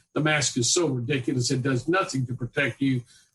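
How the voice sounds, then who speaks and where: A man speaks with a somewhat breathy voice at a fairly high pitch. His pace is fairly quick. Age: 70s. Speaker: physician. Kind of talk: interview. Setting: podcast interview. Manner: animated.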